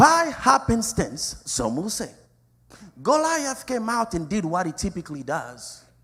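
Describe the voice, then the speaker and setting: Very wide pitch swings run through a man's high-pitched voice. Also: fairly slow pace. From Africa. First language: not English. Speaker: pastor. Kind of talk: sermon. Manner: animated.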